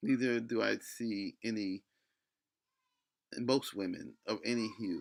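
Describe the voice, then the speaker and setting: Long, frequent pauses break up a man's speech, which moves at a very slow pace. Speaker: video commentator. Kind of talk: opinion rant. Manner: halting.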